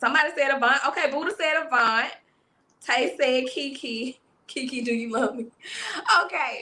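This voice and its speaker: With a Southern US accent, a woman uses a raised, projected voice at a high pitch, with ordinary pitch variation. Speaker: livestream interview host. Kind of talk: casual live-stream interview. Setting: live stream with chat. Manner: animated.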